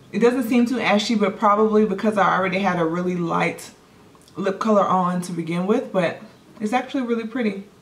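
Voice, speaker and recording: With audible room echo and noticeable background noise, a woman speaks at a medium pitch with ordinary pitch variation. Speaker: beauty vlogger. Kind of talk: casual product haul review. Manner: chatty, hesitant.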